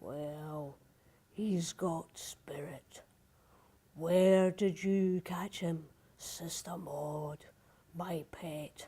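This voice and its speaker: In a put-on character voice, a woman growls at a fairly low pitch. She speaks at a very slow pace with long, frequent pauses. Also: fairly even intonation. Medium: read story. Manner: slow, nasty.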